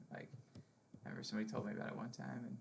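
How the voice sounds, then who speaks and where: Very wide pitch swings and vocal fry mark a man with a fairly low pitch speaking at a very fast pace. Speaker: GIS trainer showing colleagues. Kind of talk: internal training tutorial. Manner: casual, many fillers.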